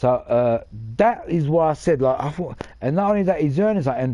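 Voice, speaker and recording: A man's fairly high-pitched voice with a dark, mellow tone, lively intonation and a fairly quick pace. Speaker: gaming livestreamer. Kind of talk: casual livestream chat. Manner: halting.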